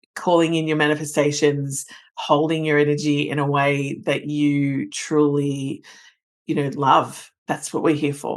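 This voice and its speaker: Against a quiet background, someone talks at a fairly slow pace. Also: woman, very deep, low pitch for a woman. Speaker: podcast host and business mentor. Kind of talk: podcast monologue. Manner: loud; animated.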